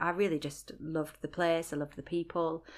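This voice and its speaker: A woman with a very deep, low pitch and a Lancashire accent, at a moderate pace. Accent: Lancashire northern English, still noticeable. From Rochdale, Lancashire, England. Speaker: blogger and voiceover artist. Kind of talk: casual interview, personal story.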